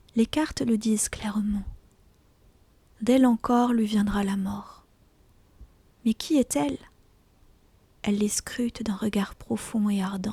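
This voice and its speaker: The voice is whispering and soft-spoken. It moves at a very slow pace with long, frequent pauses. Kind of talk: whispered audiobook reading of a short story (ASMR). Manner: whispered, soft, calm.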